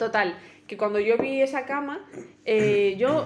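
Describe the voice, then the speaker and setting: The room echo is audible. A woman speaks with ordinary pitch variation. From El Bierzo, León, Spain. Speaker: podcast co-host. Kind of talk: casual chat.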